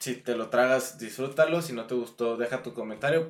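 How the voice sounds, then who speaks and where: Medium-pitched male speech at a fairly quick clip, with ordinary pitch variation. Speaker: podcast host. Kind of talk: casual chat.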